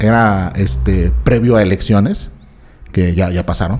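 Over background music, a man speaks in an animated tone. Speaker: comedy podcast host. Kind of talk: casual chat.

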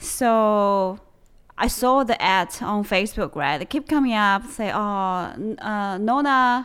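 With a Chinese accent, a woman speaks at a fairly slow pace and with lively intonation. The recording is very clean, with a silent background. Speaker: podcast co-host. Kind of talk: casual chat.

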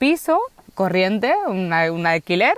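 A woman's medium-pitched voice moves at a very slow speed. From Spain, Barcelona. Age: 20s. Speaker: human resources worker, van-life traveller. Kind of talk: interview conversation. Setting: outdoors on a rural plot. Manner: halting, many repetitions.

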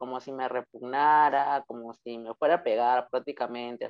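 A man speaks at a moderate pace. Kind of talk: interview.

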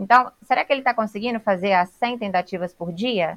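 With a normal speaking voice, a woman talks at a fairly high pitch, using ordinary pitch variation. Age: 20s. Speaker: sales director and trainer. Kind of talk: podcast interview.

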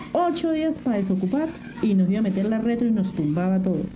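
A woman speaks at a medium pitch with music in the background. The room echo is audible. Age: 60s. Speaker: domestic worker and community leader. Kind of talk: interview testimony.

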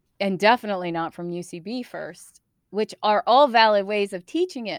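With an American accent, a woman of medium pitch speaks at a moderate pace with ordinary pitch variation in an ordinary speaking voice, the sound dry and close with no echo. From US East Coast. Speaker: improv comedian and theater founder. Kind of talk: casual interview.

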